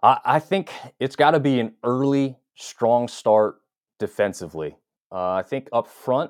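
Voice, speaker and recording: A man with an American accent speaks in a normal speaking voice at a medium pitch, with ordinary pitch variation, in a dry, close sound with no echo on a very clean recording with a silent background. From North Carolina (Hickory). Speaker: college football blogger and fan. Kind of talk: casual interview.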